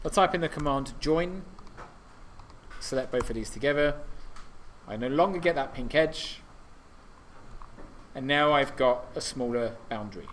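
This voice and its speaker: Audible room echo surrounds a man speaking at a moderate pace in a fairly high pitch, with long, frequent pauses. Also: ordinary pitch variation. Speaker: university workshop tutor. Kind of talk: tutorial.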